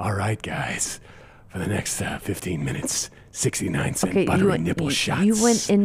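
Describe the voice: A man puts on a raspy character voice at a fairly low pitch. He speaks very slowly.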